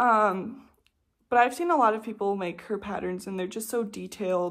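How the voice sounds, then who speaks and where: This is a plain, everyday voice from a woman of medium pitch. She speaks at a moderate pace with fairly even intonation. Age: 20s. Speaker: knitting vlogger. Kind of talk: casual chat. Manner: relaxed filler-heavy.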